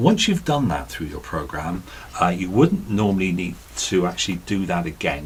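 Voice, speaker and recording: Somewhat breathy, a man speaks at a fairly low pitch with very wide pitch swings. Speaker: radio presenter. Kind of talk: tutorial. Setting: radio studio. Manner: soft-spoken.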